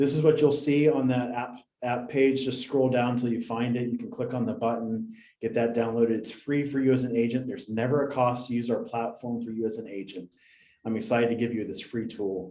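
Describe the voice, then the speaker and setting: Speaking fairly quickly with an American accent, a man has a medium pitch, a dark, mellow tone and fairly even intonation, with an audible room echo. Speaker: software company representative presenting to real estate agents. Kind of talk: product presentation on a video call.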